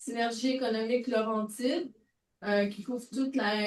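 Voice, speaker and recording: Fairly high female voice at a moderate pace, with fairly even intonation. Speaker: audience member, coordinator of a circular economy network. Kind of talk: conference question from audience. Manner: speaking loudly.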